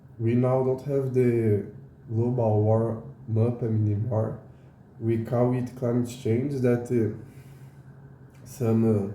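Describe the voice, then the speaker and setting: A man's medium-pitched, dark and mellow voice in a Portuguese accent, somewhat breathy, flat and monotone, at a very slow pace with long, frequent pauses, very even loudness, and audible room echo. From Brazil. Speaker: educational YouTuber. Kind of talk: casual explainer monologue. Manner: halting, many fillers.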